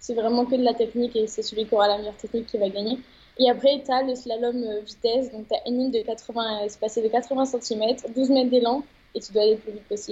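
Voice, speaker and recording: Very fast and fairly high in pitch, a woman's speech comes out in a monotone, flat intonation. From France, Médoc. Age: 20s. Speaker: roller freestyle athlete. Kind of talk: interview.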